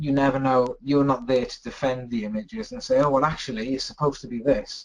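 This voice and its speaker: With a British accent, a man speaks at a medium pitch and a fairly quick pace. His intonation is lively. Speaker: photographer. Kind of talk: webinar talk. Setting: online webinar. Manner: fast.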